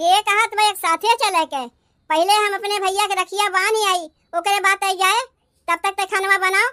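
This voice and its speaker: A woman performs a cartoonish character voice, squeaky and at an extremely high pitch. Her intonation is fairly even and her pace moderate, with a dry, close sound and no echo. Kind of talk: comic village family squabble.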